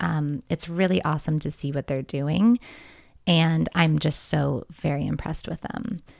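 In a very deep, low pitch with vocal fry, a woman speaks in an animated tone at a moderate pace, captured as a dry, close sound with no echo on a very clean recording with a silent background. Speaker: podcast host. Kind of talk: casual chat.

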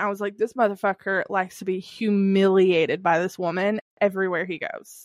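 In a Southern US accent, a woman talks at a moderate pace. Her pitch sits in the medium range. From Kentucky, US South. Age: 30s. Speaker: podcast host. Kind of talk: casual chat.

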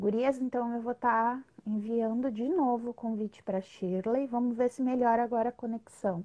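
A woman with a southern Brazilian accent speaks at a fairly high pitch in a dark, mellow tone. Her pace is moderate, with hardly any pauses and fairly even intonation. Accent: gaúcho Brazilian Portuguese. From Rio Grande do Sul, southern Brazil. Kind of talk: casual live interview. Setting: online live video stream.

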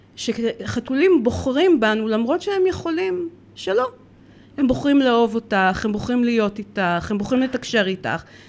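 A woman with fairly high pitch talks at a moderate pace, her pitch swinging very widely, while noticeable background noise runs behind her. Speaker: dog trainer and cat behavior consultant. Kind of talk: casual interview chat. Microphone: too far from the mic.

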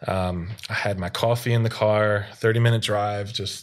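In a very clean recording with a silent background, a man talks at a moderate pace. He has an ordinary speaking voice, fairly low in pitch, with fairly even intonation. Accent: American. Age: 30s. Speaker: podcast guest, amateur basketball player. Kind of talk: casual chat.

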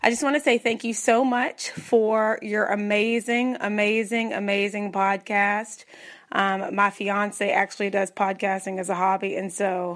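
This woman speaks with a Southern US accent at a medium pitch. Her pace is fairly slow and her intonation fairly even. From Tennessee. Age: 30s. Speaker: podcast listener leaving a voicemail. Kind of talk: voicemail message.

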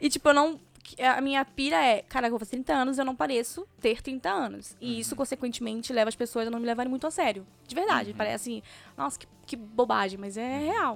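This woman talks very fast at a high pitch, with lively intonation. Her loudness swings widely from moment to moment. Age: 20s. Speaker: podcast co-host. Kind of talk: casual chat.

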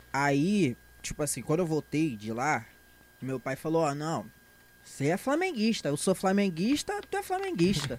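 Lively in intonation, a man with a fairly high pitch talks at a moderate pace. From Brazil, Rio de Janeiro (São João de Meriti, Baixada). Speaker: stand-up comedian. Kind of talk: casual chat. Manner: animated.

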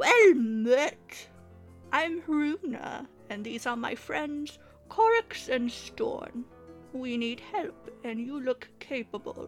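With faint music in the background, a woman does a put-on character voice that is raspy and high-pitched, at a very slow pace. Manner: friendly greeting.

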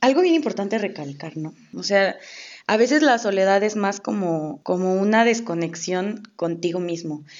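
Talking at a moderate pace, a woman uses a medium pitch. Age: 20s. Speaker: podcast co-host. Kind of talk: casual chat.

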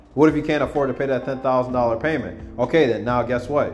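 Amid noticeable background noise, a man with an American accent talks very fast in an animated tone at a medium pitch, with ordinary pitch variation. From United States. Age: 20s. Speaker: podcaster. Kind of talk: casual monologue.

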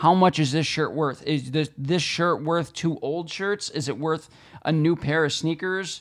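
Recorded very cleanly against a silent background, a man speaks at a fairly slow pace with fairly even intonation. His is an ordinary speaking voice, pitched fairly high for a man. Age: 30s. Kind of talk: casual chat.

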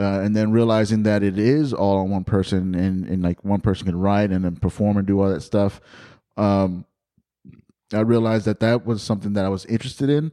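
Speaking with an American accent, a man with a fairly low pitch and a dark, mellow tone talks at a fairly quick pace. His intonation is fairly even, his loudness is very even, and the background is quiet. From Texas, San Antonio. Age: 30s. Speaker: comedian and podcast host. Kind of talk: casual chat.

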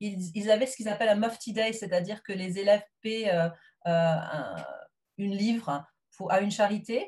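A somewhat breathy woman at a moderate pace, with ordinary pitch variation and long, frequent pauses. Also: medium pitch for a woman. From southwest France. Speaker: teacher. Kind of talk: interview. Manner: hesitant.

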